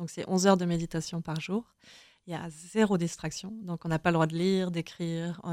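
A woman speaks at a fairly low pitch in a dark, mellow tone with monotone, flat intonation. The recording is very clean, with a silent background. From France, Charente. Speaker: author. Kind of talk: interview.

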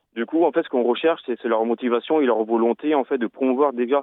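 The speaker is a man with a medium-pitched voice. His intonation stays fairly even. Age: 30s. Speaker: amputee football coach. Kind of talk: radio interview. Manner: halting.

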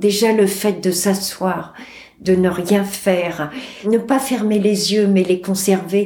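A woman speaks at a very slow pace with a medium pitch and fairly even intonation. Audible room echo and noticeable background noise surround her voice. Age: 60s. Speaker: cancer patient. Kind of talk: testimony.

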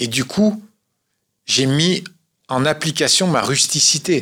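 On a very clean recording with a silent background, a man speaks in a bright, sharp tone with lively intonation. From Corsica. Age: 50s. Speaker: adventurer and motivational speaker. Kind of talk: radio interview.

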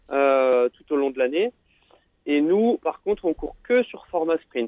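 Very slowly, a man speaks in a fairly high pitch with ordinary pitch variation. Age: 30s. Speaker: paratriathlete. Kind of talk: radio interview. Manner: halting, many fillers and repetitions.

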